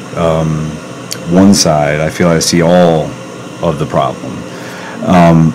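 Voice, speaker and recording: Over noticeable background noise and audible room echo, a man talks very slowly in a very deep, low pitch, his intonation monotone and flat, with long, frequent pauses. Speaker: podcast host. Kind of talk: casual interview. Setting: podcast studio. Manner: loud.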